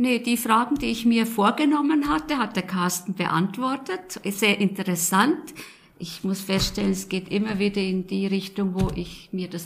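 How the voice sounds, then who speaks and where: Somewhat breathy and lively in intonation, a woman speaks at a fairly slow pace. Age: 70s. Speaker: retiree, engaged citizen. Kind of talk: interview questions.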